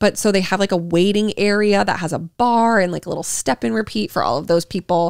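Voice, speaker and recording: Over a quiet background with a dry sound and no echo, a woman with an American accent speaks very fast, with hardly any pauses and ordinary pitch variation. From Utah. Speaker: podcast co-host. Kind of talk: casual chat. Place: home room. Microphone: handheld.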